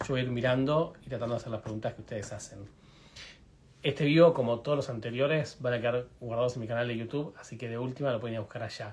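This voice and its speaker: Talking at a very fast pace, a man with a medium pitch and a somewhat breathy voice keeps his intonation fairly even while his loudness swings widely. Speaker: veterinarian hosting livestream. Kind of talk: live stream interview. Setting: video livestream.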